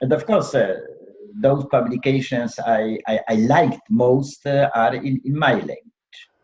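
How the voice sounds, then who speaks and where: With lively intonation, a man speaks in a fairly high, somewhat breathy voice. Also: fairly slow pace. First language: Polish. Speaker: law professor and former judge. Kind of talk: interview. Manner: halting, many fillers.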